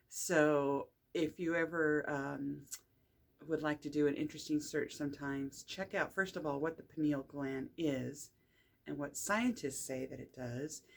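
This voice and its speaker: A relaxed woman's voice, very deep and low in pitch, with ordinary pitch variation at a fairly slow pace. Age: 60s. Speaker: energy healer and spiritual teacher. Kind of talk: casual monologue talk to camera. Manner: relaxed with frequent fillers.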